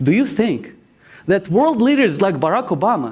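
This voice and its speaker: A man with a non-native accent, moderate pace and very wide pitch swings. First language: not English. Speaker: graduate student presenter. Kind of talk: competition speech. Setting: stage with audience.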